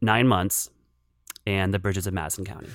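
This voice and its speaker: A man talks in a plain, everyday voice with an American accent, fairly low in pitch and fairly even in intonation. The recording is very clean, with a silent background. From western Pennsylvania, rural area south of Pittsburgh. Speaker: film critic. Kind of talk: casual interview.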